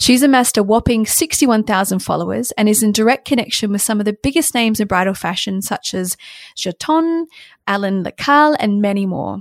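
A woman with a plain, everyday voice, fairly high in pitch, speaking at a fairly quick pace with lively intonation in a dry, close sound with no echo. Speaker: podcast host. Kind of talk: casual chat. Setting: remote recording.

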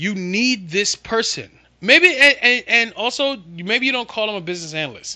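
Over a quiet background, a man uses a raised, projected voice with a high pitch, a bright, sharp tone, an animated manner and lively intonation at a moderate pace. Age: 40s. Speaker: podcast host and SharePoint consultant. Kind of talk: casual solo monologue.

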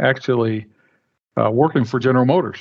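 A man with a Midwestern American accent and fairly even intonation. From Flint, Michigan. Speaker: energy company executive. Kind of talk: casual interview.

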